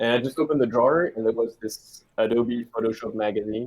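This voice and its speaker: A man with a French accent at a fairly quick pace. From France. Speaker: video game artist. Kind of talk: interview. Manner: halting.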